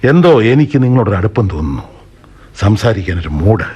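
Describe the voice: Using a put-on character voice, a man talks at a fast pace with fairly low pitch, a dark, mellow tone, a husky, rough edge and big pitch swings.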